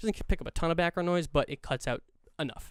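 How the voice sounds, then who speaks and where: Speaking very fast, the man uses lively intonation. Behind him the background is silent, and the recording is very clean. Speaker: podcast host. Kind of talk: solo monologue about podcast editing. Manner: casual, halting with many fillers. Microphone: XLR studio microphone.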